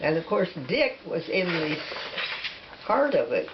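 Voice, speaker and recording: There is noticeable background noise behind this woman. She speaks at a fairly slow pace with an American accent. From Nebraska. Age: 80s+. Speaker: interviewee. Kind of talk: casual chat. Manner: halting.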